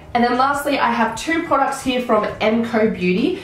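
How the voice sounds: A woman at a moderate pace, with audible room echo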